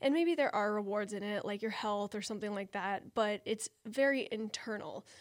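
A woman with an unremarkable speaking voice talks at a moderate pace, fairly high in pitch with ordinary pitch variation and hardly any pauses. The recording is very clean, with a silent background. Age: 30s. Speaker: podcast host and parkour athlete. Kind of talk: solo podcast monologue. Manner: casual, conversational.

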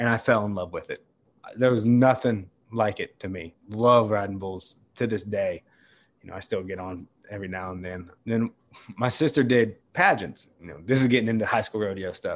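Against a quiet background, a man with an ordinary speaking voice and fairly low pitch talks at a moderate pace, with ordinary pitch variation and big swings in loudness. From West Virginia. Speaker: bull rider and bullfighter. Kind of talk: casual interview.

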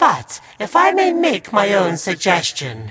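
Someone uses a put-on character voice, pitched fairly high and delivered at a fairly slow pace. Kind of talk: campy horror-host showmanship. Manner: theatrical, gleefully macabre, mock-welcoming.

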